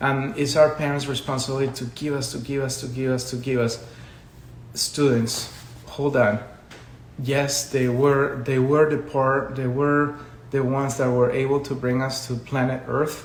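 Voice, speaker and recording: Amid noticeable background noise and audible room echo, a man with a medium pitch speaks at a moderate pace in a monotone, flat intonation. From Colombia. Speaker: education consultant. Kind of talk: live stream talk. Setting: social media live video.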